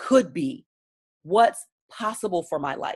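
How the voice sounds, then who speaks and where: A woman with an American accent, an animated tone, very wide pitch swings, and a fairly slow pace. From Baltimore, Maryland, US. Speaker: business coach and speaker. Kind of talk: online training talk.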